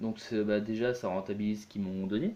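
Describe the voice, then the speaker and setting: A man speaks against noticeable background noise. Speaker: gaming youtuber. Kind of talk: let's play commentary. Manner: hesitant, many fillers.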